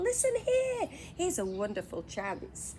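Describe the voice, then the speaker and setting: Doing a put-on character voice, a woman sounds squeaky and nasal at a fairly slow pace, with clear background noise. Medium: read story.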